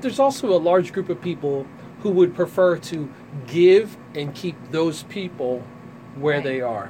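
A man speaks with a high voice and lively intonation. Noticeable background noise runs under him. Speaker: radio show host. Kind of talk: radio interview. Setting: studio.

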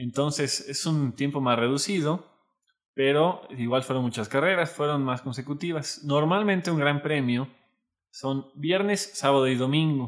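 Fairly slow speech in a plain, everyday voice, with ordinary pitch variation. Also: man, fairly high pitch for a man. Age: 20s. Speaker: podcast co-host. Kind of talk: casual chat.

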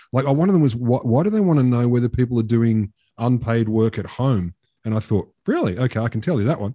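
Over a quiet background, a man talks at a very fast pace with medium pitch, ordinary pitch variation and a dark, mellow tone. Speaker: podcast host. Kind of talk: casual banter podcast. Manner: cheeky, sweary, quick-witted.

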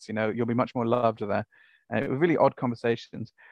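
With a Welsh accent, a man talks at a very fast pace in a dry, close sound with no echo and a quiet background. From Wales. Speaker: academic researcher, author. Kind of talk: interview.

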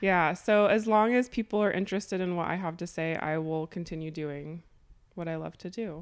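A woman talks at a fairly quick pace in an ordinary speaking voice. Her pitch is fairly low, with ordinary pitch variation. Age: 30s. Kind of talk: interview.

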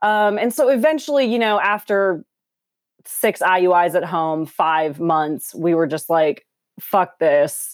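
A normal speaking voice in an American accent, with lively intonation at a fairly slow pace. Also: woman, medium pitch for a woman. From Minneapolis, US Midwest. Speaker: fitness instructor. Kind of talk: casual interview.

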